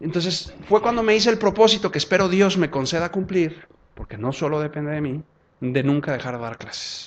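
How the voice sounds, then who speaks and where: Against a quiet background, a man with a Jalisco accent speaks quickly at a fairly high pitch with lively intonation. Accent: Mexican, from Zapopan. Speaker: law professor and lawyer. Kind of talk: lecture with audience Q&A.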